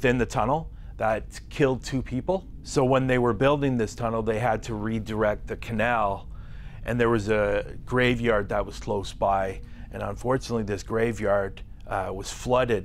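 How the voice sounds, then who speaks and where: Light background noise accompanies a man speaking at a moderate pace. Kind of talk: interview answer. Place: studio.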